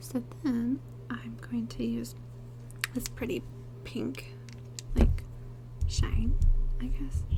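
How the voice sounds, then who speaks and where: Soft-spoken and very slow, a woman talks with long, frequent pauses over noticeable background noise. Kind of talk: ASMR get-ready-with-me makeup tutorial.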